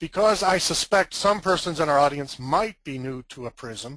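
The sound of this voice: A man speaks in a bright, sharp, gravelly voice, fairly high in pitch. His pace is moderate and his intonation lively.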